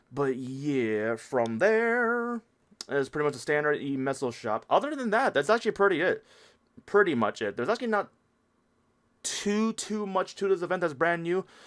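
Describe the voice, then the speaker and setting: Over a silent background on a very clean recording, a man speaks at a high pitch with very wide pitch swings. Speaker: gaming video creator. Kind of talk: tutorial. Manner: fast.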